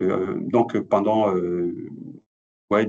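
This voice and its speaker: A man is speaking here. His pitch variation is ordinary. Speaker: cybersecurity expert. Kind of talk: webinar presentation. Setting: online webinar. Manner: fast; hesitant, many fillers.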